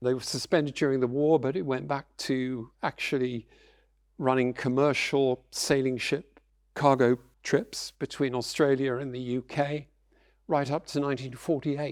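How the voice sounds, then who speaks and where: With a British accent, this speaker talks at a moderate pace with fairly even intonation on a very clean recording with a silent background. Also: man, medium pitch for a man. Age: 70s. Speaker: lecturer. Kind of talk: public lecture.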